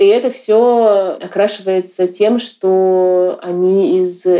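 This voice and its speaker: A woman with a medium pitch and fairly even intonation. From Yakutia, Russia. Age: 30s. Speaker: artist and curator. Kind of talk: casual interview.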